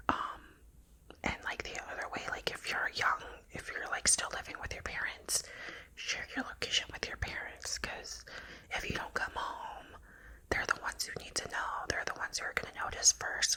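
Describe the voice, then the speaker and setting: Whispered speech from a woman, moderate in pace, with noticeable noise behind it. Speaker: ASMR creator. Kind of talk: ASMR reaction talk to camera.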